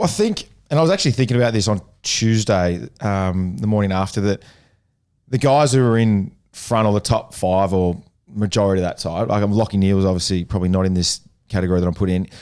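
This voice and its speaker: A man with an Australian accent at a very fast pace, fairly low in pitch, with very even loudness, in a very clean recording over a silent background. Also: ordinary pitch variation. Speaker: podcast co-host, former footballer. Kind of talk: casual chat. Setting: live event venue.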